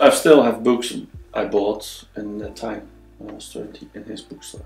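Music plays in the background while a man speaks. His pace is moderate and his loudness swings widely. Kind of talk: casual conversation.

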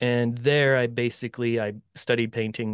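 Against a quiet background, a man with an American accent speaks in a monotone, flat intonation, the sound dry with no echo. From US Upper Midwest (Bismarck, North Dakota); North Dakota. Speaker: painter and art mentor; guest. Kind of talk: interview conversation. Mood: relaxed, friendly. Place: home room. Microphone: studio mic.

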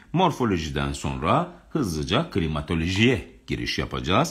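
A man's voice with vocal fry, very wide pitch swings, a moderate pace and hardly any pauses, against a quiet background. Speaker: geography teacher running live exam-prep lessons. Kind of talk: live online lecture; lecture. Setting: home live stream, balcony door near pool music. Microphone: phone near.

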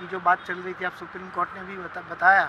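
Noticeable background noise accompanies a man with a high pitch. The sound is dry with no echo. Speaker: city resident in a street interview. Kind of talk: vox-pop interview. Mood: earnest, opinionated. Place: waterside. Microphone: phone near.

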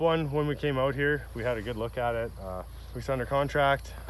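The man's delivery moves at a moderate pace. There is light background noise, and the sound is dry with no echo. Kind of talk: casual vlog chat. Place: open country. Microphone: phone near.

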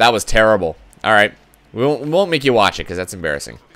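This man has vocal fry and a medium pitch. His tone is animated, with very wide pitch swings. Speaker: gaming video creator. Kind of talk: live gameplay commentary. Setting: recording while playing online.

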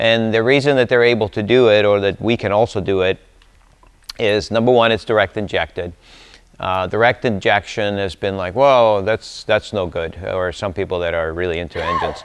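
A man speaks with an unremarkable speaking voice, fairly low in pitch, at a moderate pace. His pitch variation is ordinary, and the background is quiet. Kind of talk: informal technical talk. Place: workshop.

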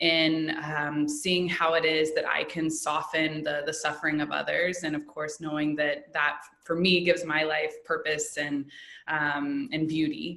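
A woman with an American accent speaks at a fairly slow pace in a very deep, low pitch, with noticeable background noise and audible room echo. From US Midwest, Indianapolis. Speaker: yoga teacher and educator. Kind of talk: casual interview.

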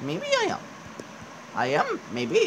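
A man speaks in a put-on character voice. Background noise is clearly present. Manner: wise, cryptic.

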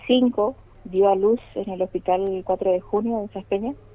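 Fairly even intonation and medium pitch in a woman's speech. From Chaco, Argentina (Machagai). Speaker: police officer. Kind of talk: phone interview. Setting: phone call.

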